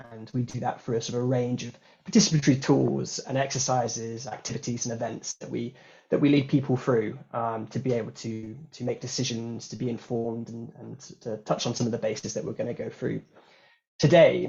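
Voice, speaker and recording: A man speaks at a fairly quick pace and a medium pitch. His voice is somewhat breathy, with fairly even intonation. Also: big swings in loudness. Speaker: workshop facilitator. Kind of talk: online workshop facilitation. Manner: fast; hesitant, many fillers and repeats.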